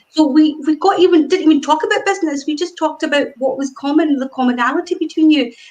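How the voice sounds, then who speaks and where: A woman with a Glasgow accent, lively intonation and a fairly quick pace. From Scotland, Glasgow. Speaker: networking group founder. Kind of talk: interview on a live stream. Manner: animated.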